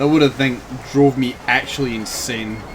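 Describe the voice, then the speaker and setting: With music in the background, a man talks at a moderate pace in a medium pitch with ordinary pitch variation. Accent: Scottish. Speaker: video game streamer. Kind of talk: live gameplay commentary. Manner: casual, conversational.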